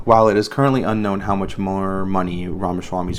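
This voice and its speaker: Audible room echo hangs around this man's voice. His pitch is very deep and low, and his intonation fairly even. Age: 30s. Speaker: podcast host. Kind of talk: reading aloud with commentary. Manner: halting, stumbling over words; casual.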